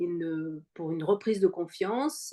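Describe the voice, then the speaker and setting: The voice belongs to a woman and sits at a medium pitch. It rises and falls in an ordinary way. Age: 60s. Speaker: cancer survivor, fitness program member. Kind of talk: interview testimony. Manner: halting, many fillers.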